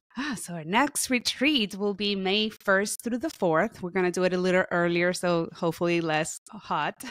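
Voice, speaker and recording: Hardly pausing at all, a woman speaks at a moderate pace with a Spanish accent. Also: medium pitch for a woman, ordinary pitch variation. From Puerto Rico. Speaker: therapist and author. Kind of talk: podcast interview.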